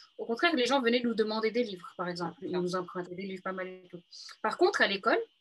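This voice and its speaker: Very fast talk with lively intonation and big swings in loudness. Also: woman, fairly high pitch for a woman. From Paris region, France. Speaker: book influencer. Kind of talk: interview. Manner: halting.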